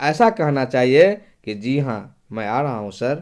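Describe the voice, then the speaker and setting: The very clean recording of a man's voice has a silent background. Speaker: teacher. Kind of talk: tutorial. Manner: reading aloud with explanations.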